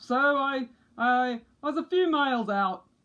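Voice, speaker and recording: A put-on character voice sounds female and high-pitched. It moves at a fairly slow pace. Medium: read story.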